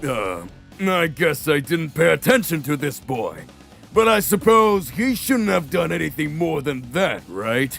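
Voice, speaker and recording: A man puts on a character voice at a fairly high pitch and a moderate pace. Faint music sits in the background. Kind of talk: fan-made comedic parody audio drama. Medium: audio drama. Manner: haughty, dismissive.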